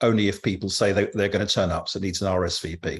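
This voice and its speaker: A man with a southern English accent speaks in a fairly low, somewhat breathy voice with flat, monotone intonation against a quiet background. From London. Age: 70s. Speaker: cycling group leader. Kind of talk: interview. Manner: halting.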